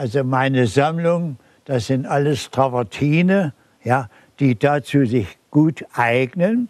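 A man speaks at a very slow pace and a fairly high pitch, with lively intonation. The sound is dry with no echo, against a quiet background. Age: 80s+. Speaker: bonsai grower. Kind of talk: interview answer. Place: garden. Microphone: lapel.

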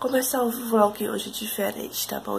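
A woman speaks over light background noise. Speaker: vlogger. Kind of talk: casual vlog talk. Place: kitchen. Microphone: phone near.

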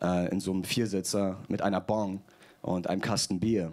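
Over a quiet background, a man is talking. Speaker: stand-up comedian. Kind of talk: roast battle, stand-up comedy with audience. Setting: stage with audience. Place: stage. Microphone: handheld.

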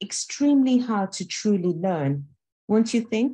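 At a fairly slow pace, a woman speaks with lively intonation in a dark, mellow, somewhat breathy tone against a quiet background. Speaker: conference host. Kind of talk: conference introduction talk. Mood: warm, earnest. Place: home room. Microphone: webcam.

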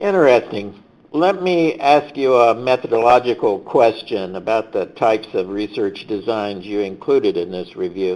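A man with a plain, everyday voice at a medium pitch, moderate pace, lively intonation and hardly any pauses. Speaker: research center director and webcast moderator. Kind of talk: moderated webcast discussion.

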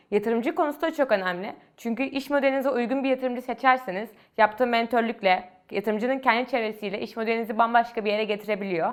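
Speaking very fast, this woman lets her pitch rise and fall to a normal degree. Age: 20s. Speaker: university student and startup founder. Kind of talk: interview monologue.

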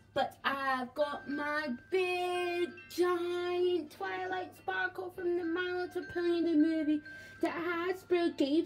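Very slow speech with lively intonation over light background noise. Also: woman. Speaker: toy collector channel host. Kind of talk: toy collection show-and-tell. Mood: enthusiastic, admiring. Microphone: phone near.

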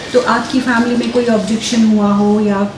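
Over noticeable background noise, a woman talks at a fairly slow pace in a flat, monotone delivery. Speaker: TV reporter. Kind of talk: TV interview host. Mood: warm, friendly well-wishing. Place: studio.

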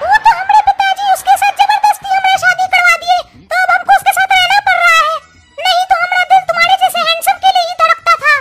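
An extremely high-pitched, cartoonish character voice. It moves at a fairly quick pace.

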